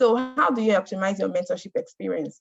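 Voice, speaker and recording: A woman's voice, somewhat breathy, with ordinary pitch variation. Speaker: mentorship program speaker. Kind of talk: presentation. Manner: fast.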